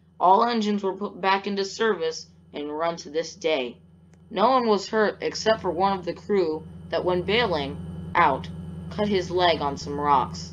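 A woman with a fairly low pitch and vocal fry speaks at a fairly slow pace with ordinary pitch variation. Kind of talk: documentary narration. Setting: Roblox game footage voiceover. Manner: formal, measured news-style delivery; matter-of-fact, steady pace.

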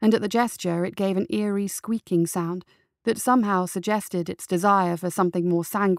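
Someone reads aloud plainly over a quiet background.

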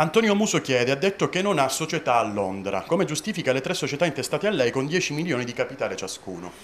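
A man talks very fast with hardly any pauses, his fairly high voice showing vocal fry. His pitch swings very widely, over light background noise. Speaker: interviewer reading fans' questions. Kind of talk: interview. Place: office.

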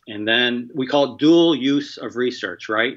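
A man with an American accent speaks with ordinary pitch variation against a quiet background. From US. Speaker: infectious disease biosafety expert. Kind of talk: interview. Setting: remote call. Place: home room. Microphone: video call.

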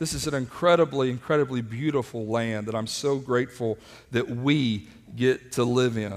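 Animated tone from a man at a moderate pace. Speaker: preacher. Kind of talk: sermon to a live congregation, with scripture reading and prayer. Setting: church with live congregation, streamed online. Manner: animated, exhorting, calling for audience responses. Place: church.

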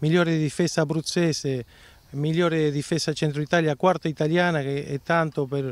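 In a dry recording with no echo, a man with a fairly high pitch talks at a moderate pace with fairly even intonation. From Argentina. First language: Spanish (speaking Italian). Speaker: football coach. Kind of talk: interview. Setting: outdoors. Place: stadium. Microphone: handheld.

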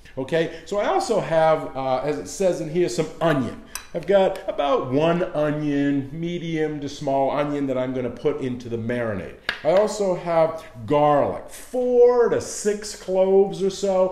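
Audible room echo and light background noise surround a man talking at a fairly slow pace. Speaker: cooking show host. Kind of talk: tutorial. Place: kitchen. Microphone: camera far.

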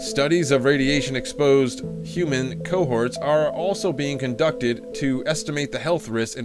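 A man with a fairly high pitch talks at a moderate pace with lively intonation and hardly any pauses, with music playing in the background. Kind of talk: nonfiction reading aloud. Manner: some stuttering.

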